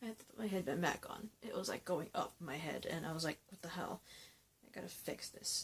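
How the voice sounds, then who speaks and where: Whispering at a fairly quick pace, a woman speaks with big swings in loudness. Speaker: YouTuber reacting to TV episodes. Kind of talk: reaction rant, casual vlog. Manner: soft-spoken, a little quiet; hesitant, many fillers.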